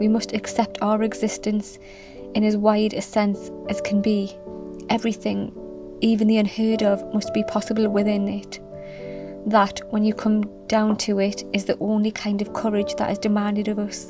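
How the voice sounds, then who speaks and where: With music in the background, a woman talks at a moderate pace. Her tone is calm. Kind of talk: literary reading aloud of a classic letter, calm and reflective. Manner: calm, soft, ASMR-style delivery.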